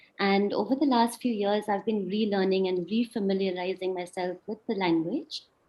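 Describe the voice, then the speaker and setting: Her medium-pitched speech, with ordinary pitch variation, proceeds at a moderate pace. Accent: northeastern Indian. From India, Shillong (Meghalaya). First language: Khasi. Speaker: speaker at online talk. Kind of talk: presentation talk. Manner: halting, many fillers.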